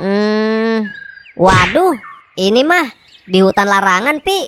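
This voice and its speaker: A woman performs a cartoonish character voice with lively intonation. She speaks at a very slow pace. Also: fairly high pitch for a woman. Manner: chatty, easygoing.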